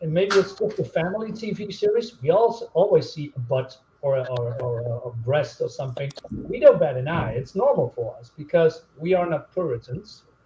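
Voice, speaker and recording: Amid noticeable background noise, a man talks at a moderate pace in a high pitch, with very wide pitch swings and big swings in loudness. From continental Europe. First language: non-English European language. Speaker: YouTuber reviewing comics. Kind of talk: casual chat on live stream.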